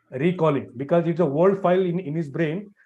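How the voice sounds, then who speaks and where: A man talks at a fairly quick pace in a normal speaking voice, fairly high in pitch with ordinary pitch variation. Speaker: networking trainer. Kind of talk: live online class lecture. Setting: live stream with screen share.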